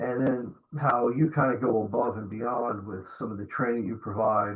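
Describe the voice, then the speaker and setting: A man's somewhat breathy, medium-pitched voice with an American accent, fairly even intonation and a moderate pace. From New Jersey. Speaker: podcast host, security trainer. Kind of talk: interview.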